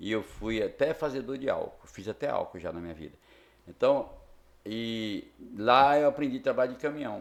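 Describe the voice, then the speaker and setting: A man speaks at a moderate pace with big swings in loudness. The recording is very clean, with a silent background. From Brazil, Tocantins (Miracema). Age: 60s. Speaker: local businessman and former truck driver. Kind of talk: podcast interview. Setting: studio.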